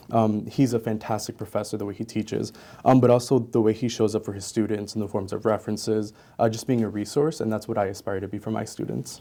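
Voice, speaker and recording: Talking at a very fast pace, a man uses a dark, mellow tone at a fairly low pitch with fairly even intonation. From Honduras, raised in Maryland from age six. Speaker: student teacher, union board member. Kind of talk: interview.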